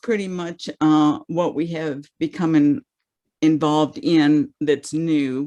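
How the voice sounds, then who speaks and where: Her pitch is fairly low for a woman. She speaks at a very slow pace. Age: 70s. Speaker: ministry partner reporting at a meeting. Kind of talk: meeting report. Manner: halting.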